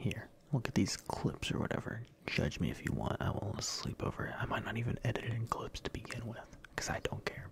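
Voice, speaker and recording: The voice is whispering. The pace is moderate. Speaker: content creator. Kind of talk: apology video monologue. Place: home room. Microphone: studio mic.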